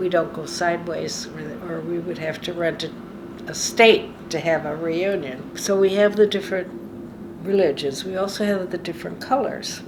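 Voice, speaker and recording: Noticeable background noise sits under a woman's voice. She talks at a moderate pace with a fairly low pitch and ordinary pitch variation. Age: 90s. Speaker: retired community volunteer. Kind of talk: interview answer.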